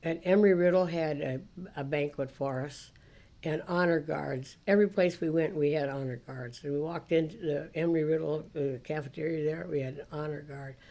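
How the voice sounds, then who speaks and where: At a moderate pace, a woman with a very deep, low pitch speaks in a dark, mellow tone and fairly even intonation. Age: 90s. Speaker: war veteran. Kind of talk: interview.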